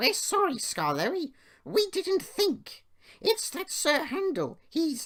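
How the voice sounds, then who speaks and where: A man uses a squeaky, put-on character voice at an extremely high pitch, speaking at a very slow pace. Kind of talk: children's bedtime story acting. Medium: read story. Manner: whiny, wailing.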